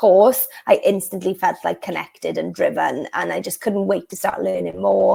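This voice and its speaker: A woman speaks with a Welsh accent. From South Wales. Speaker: law of attraction coach. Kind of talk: interview. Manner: casual, filler-heavy.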